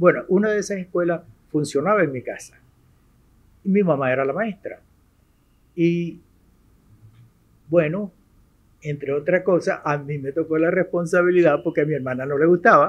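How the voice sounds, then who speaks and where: At a moderate pace, a man with a high pitch and ordinary pitch variation speaks with long, frequent pauses. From Venezuela, Maracaibo (Zulia). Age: 70s. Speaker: retired university rector and math professor. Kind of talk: interview. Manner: halting, with fillers.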